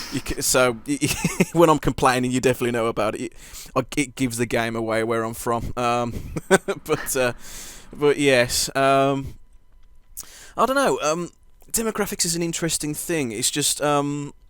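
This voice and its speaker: Speaking with a Birmingham accent, a man at medium pitch moves at a moderate pace with ordinary pitch variation and long, frequent pauses. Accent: Midlands (Birmingham). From English Midlands, Birmingham. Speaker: podcast host, interviewer. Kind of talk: casual interview chat. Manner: halting, many fillers and restarts.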